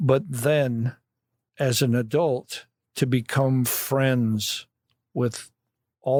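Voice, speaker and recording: Recorded very cleanly against a silent background, dry and close with no echo, a man with a Midwestern US accent talks at a very slow pace in a medium pitch with fairly even intonation. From Illinois, Kankakee County. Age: 60s. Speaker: vehicle collection curator. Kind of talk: casual chat. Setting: podcast recording.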